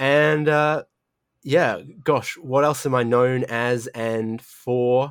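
In a very clean recording with a silent background, a man with an Australian accent and a medium pitch talks at a very slow pace with fairly even intonation. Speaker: sim racing commentator. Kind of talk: casual podcast interview.

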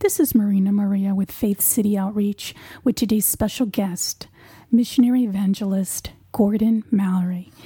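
A woman speaks at a moderate pace and medium pitch, with fairly even intonation. Her tone is dark and mellow and somewhat breathy. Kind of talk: interview.

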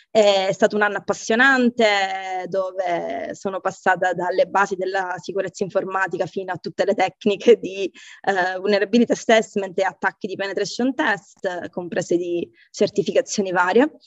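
A woman at medium pitch and moderate pace, hardly any pauses, fairly even intonation, music in the background. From Sicily, Catania. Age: 40s. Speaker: software engineer and tech team lead. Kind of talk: interview conversation. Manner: hesitant, many fillers and repetitions.

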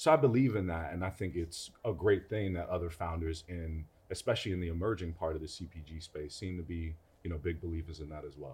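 A man talks very fast in a very deep, low, somewhat breathy voice with ordinary pitch variation. His loudness swings widely, and the recording is very clean with a silent background. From Brooklyn, New York. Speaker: food entrepreneur. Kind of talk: casual interview.

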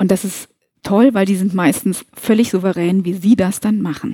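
At a moderate pace, a woman speaks at a medium pitch with ordinary pitch variation, her dark, mellow tone somewhat breathy. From northern Hesse, Germany (Kassel). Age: 50s. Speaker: movement trainer for senior care staff. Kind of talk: interview.

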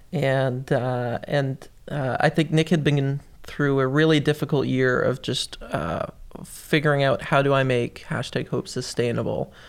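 A normal speaking voice moves at a moderate pace with fairly even intonation on a very clean recording with a silent background. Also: man. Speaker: youth worker. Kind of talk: casual chat. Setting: studio.

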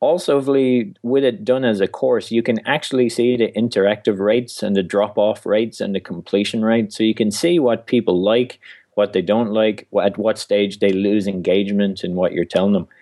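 In an Irish accent, a man talks at a fairly quick pace with a fairly low pitch. His loudness stays very even, and his pitch varies in an ordinary way. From Ireland. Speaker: author and stand-up comic. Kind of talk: casual interview.

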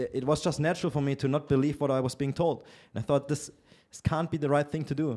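A man with a German accent, very fast pace and a dark, mellow tone. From Germany. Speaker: entrepreneur and relationship commentator. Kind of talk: casual interview. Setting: in person. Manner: opinionated.

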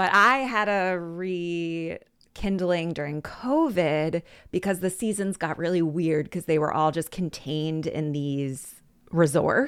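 In a very clean recording with a silent background, a woman with an American accent speaks at a very slow pace. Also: fairly low pitch for a woman, ordinary pitch variation. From Philadelphia, US. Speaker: storytelling coach. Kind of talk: casual chat.

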